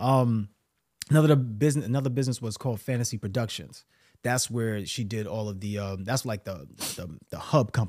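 A man with a Brooklyn accent at medium pitch and a fairly quick pace, on a very clean recording with a silent background. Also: ordinary pitch variation. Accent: New York (Brooklyn). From New York City, Brooklyn. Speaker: mindset coach and entrepreneur. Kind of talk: casual interview.

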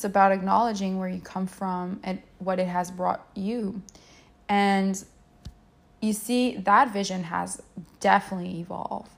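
A woman at medium pitch speaks in a monotone, flat way, somewhat breathy, at a moderate pace broken by long, frequent pauses. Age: 30s. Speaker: mindset coach, podcast host. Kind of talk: solo podcast monologue.

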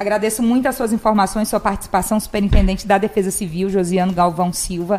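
Very fast, a woman speaks at a medium pitch with fairly even intonation. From Imperatriz, Maranhão, Brazil. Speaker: journalist and live show host. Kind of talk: live interview show. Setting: studio.

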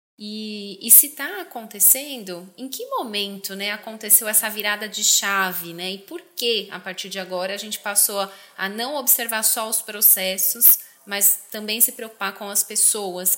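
A woman speaks at a fairly slow pace with hardly any pauses, her pitch medium and its variation ordinary. Noticeable background noise runs beneath her. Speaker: podcast host. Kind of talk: interview.

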